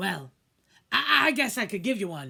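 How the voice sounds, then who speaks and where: Using a put-on character voice, a woman speaks at a moderate pace in a medium pitch with very wide pitch swings. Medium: read story. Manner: gruff, yelling.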